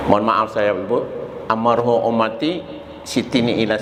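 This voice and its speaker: A man speaks at a moderate pace. Noticeable background noise and audible room echo fill the recording. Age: 70s. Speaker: Islamic preacher. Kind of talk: sermon.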